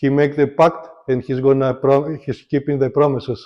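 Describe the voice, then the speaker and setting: In a non-native accent, the speaker talks at a fairly slow pace with monotone, flat intonation. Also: man. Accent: foreign. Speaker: political commentator vlogger. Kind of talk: casual monologue vlog. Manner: halting, hesitant.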